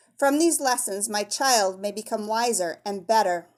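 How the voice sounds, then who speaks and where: Putting on a character voice, a woman speaks at a fairly high pitch and a moderate pace with ordinary pitch variation. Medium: read story.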